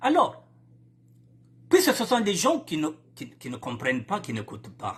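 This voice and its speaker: A man speaks with a Congolese accent in an animated tone. His pitch makes very wide swings. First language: Lari (speaking French). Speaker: political commentator. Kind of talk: political broadcast monologue.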